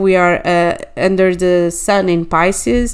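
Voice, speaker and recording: A woman with a Portuguese accent speaks at a very slow pace in a medium pitch. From Portugal. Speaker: astrologer. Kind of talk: monologue video. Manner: halting, many fillers.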